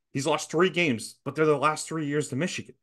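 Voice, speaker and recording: Pitched fairly high, a man talks fairly quickly in a plain, everyday voice. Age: 30s. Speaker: sports podcast co-host. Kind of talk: casual chat.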